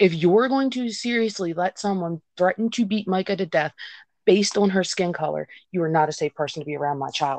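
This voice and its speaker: Over a quiet background, a woman with a plain, everyday voice and medium pitch speaks at a fairly quick pace, recorded dry and close with no echo. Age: 30s. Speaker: guest, mother of a mixed-race child. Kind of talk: emotional conversation about race and parenting. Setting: remote call with connection drops.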